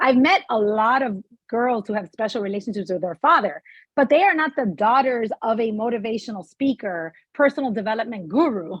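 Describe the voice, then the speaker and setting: Against a quiet background, a woman with a fairly high pitch and an unremarkable speaking voice speaks at a fairly quick pace with lively intonation. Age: 40s. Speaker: interview show host. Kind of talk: interview.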